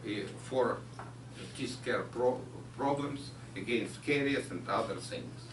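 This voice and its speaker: Speaking very slowly with a Ukrainian accent, a man delivers his words in a monotone, flat intonation over noticeable background noise and audible room echo. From Ukraine. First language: Ukrainian or Russian. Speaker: chemistry researcher. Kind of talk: lecture. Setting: pub with audience.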